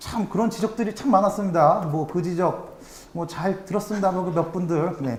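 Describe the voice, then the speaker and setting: Noticeable background noise runs beneath this recording. A man speaks in a high voice with ordinary pitch variation. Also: moderate pace. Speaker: amateur football podcast host and supporter. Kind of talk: casual podcast chat. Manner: stumbling over pronunciation.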